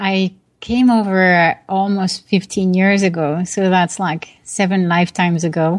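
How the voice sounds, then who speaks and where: Speaking in a French accent at a fairly slow pace, a woman keeps a medium pitch and a monotone, flat intonation. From France, Paris. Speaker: tech product executive and author. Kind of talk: interview. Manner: hesitant fillers (uh, um).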